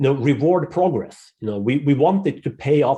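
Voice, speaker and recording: A man with a non-native accent speaks at a moderate pace in a fairly high pitch, his somewhat breathy voice dark and mellow in tone with lively intonation. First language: not English. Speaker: podcast panel guest. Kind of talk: panel discussion. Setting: group call.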